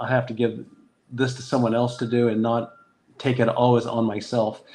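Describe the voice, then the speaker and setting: A man speaks at a medium pitch. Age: 60s. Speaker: dentist and practice owner. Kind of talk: interview. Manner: halting.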